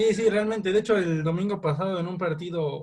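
A man talks fairly quickly, his intonation staying fairly even. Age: 20s. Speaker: amateur football referee. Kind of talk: interview. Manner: halting.

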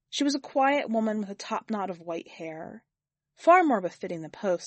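The intonation is lively in this unforced reading voice, heard over a quiet background.

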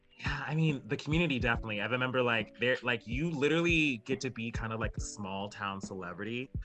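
Using lively intonation, a medium-pitched man talks at a very fast pace with hardly any pauses while music plays in the background. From Alaska. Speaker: drag queen. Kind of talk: interview.

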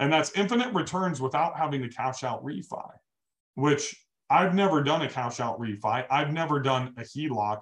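Somewhat breathy and fairly high in pitch, a man speaks at a moderate pace with lively intonation. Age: 40s. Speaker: real estate investor and business coach. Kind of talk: casual interview. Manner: animated.

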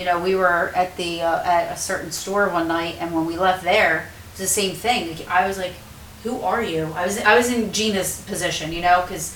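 Background noise can be clearly heard. The delivery is moderately paced, with fairly level intonation. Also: woman, medium pitch for a woman. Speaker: paranormal show co-host. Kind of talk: casual chat, live stream.

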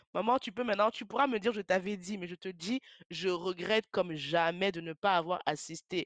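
A woman speaks with ordinary pitch variation in a dry, close sound with no echo. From France. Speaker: podcast host. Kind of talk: solo podcast monologue, personal tribute. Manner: halting, hesitant.

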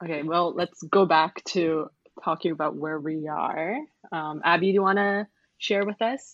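A woman's plain, everyday voice, fairly low in pitch, with ordinary pitch variation and a moderate pace. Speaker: arts manager and freelance translator, podcast co-host. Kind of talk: casual chat. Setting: remote call from Singapore.

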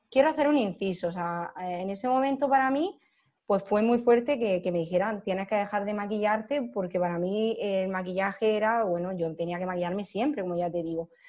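A plain, everyday voice from a woman, medium in pitch, at a moderate pace with lively intonation. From Almería, Andalusia, Spain. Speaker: makeup artist. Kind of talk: casual interview chat.

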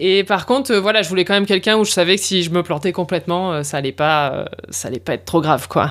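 A woman speaks in an ordinary speaking voice, pitched fairly low. Her pace is fairly quick, with ordinary pitch variation. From northern France, Lille. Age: 40s. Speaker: podcast producer. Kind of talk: casual interview.

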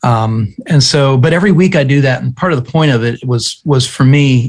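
A somewhat breathy man with an American accent talks at a moderate pace and medium pitch. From US, small farming town. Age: 40s. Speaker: pastor and author. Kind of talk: interview conversation. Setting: remote call.

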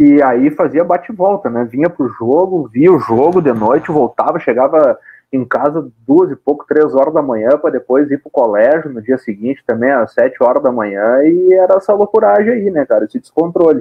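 A man with a fairly high pitch speaks at a moderate pace with lively intonation and hardly any pauses. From Brazil, Rio Grande do Sul (Caxias do Sul). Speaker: football radio commentator and club press officer. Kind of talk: casual interview. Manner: animated.

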